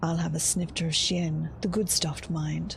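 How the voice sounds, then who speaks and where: Somewhat breathy, a woman speaks at a fairly low pitch and fairly slow pace. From Australia. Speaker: streamer, content creator. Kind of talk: read story, game lore reading.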